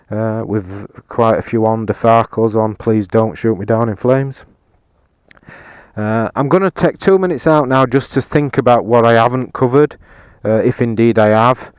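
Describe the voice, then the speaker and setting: Heard in a dry, close sound with no echo, a man with a Yorkshire accent talks with ordinary pitch variation. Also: medium pitch for a man, moderate pace. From Yorkshire, England. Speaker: motorcycle reviewer. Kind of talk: casual video review. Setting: outdoors on a hilltop. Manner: hesitant, many fillers.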